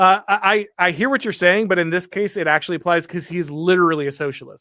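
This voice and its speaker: Over a very clean, silent background, a man with an American accent speaks in a high, bright, sharp voice with ordinary pitch variation. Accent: slight Southern drawl on certain phrases. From US South. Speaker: political commentator, show host. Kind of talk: livestream talk show, reading super chats. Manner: halting, many fillers and restarts.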